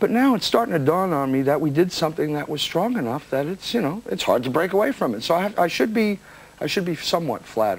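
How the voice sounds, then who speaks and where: Speaking at a very fast pace with very wide pitch swings, a high-pitched man with an American accent is heard over noticeable background noise. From New Jersey, USA. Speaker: singer and songwriter. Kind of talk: interview answer.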